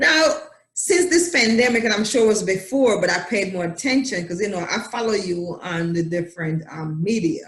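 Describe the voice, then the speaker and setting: A Jamaican accent at a moderate pace. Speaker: talk show host. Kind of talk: casual interview chat.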